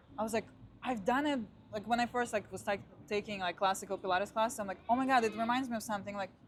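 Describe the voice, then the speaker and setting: A woman's very fast, somewhat breathy speech at a fairly high pitch, in a Russian accent. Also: fairly even intonation. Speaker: Pilates instructor. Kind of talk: casual chat.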